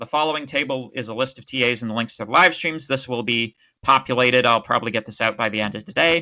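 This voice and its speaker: A man speaks at a fairly quick pace with a bright, sharp tone. The background is quiet. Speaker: university lecturer. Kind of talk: lecture. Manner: fast.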